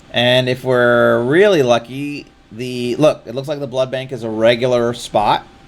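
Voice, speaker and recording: A man speaks fairly slowly, his intonation fairly even, while noticeable background noise carries on. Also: medium pitch for a man. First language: not English. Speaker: streamer. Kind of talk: live gameplay commentary. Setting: live stream.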